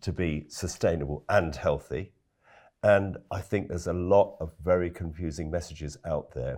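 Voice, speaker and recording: Very deep and low, a man's voice carries vocal fry and fairly even intonation at a moderate pace in a very clean recording with a silent background. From London, England. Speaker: organic farmer and food campaigner. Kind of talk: interview.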